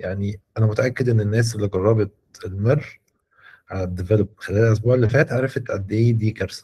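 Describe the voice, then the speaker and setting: Over a quiet background, a man speaks at a fairly quick pace with a fairly low pitch, fairly even intonation, a dark, mellow tone and a somewhat breathy quality. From Egypt. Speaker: software mentor. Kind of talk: mentoring session. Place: home room. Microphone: video call.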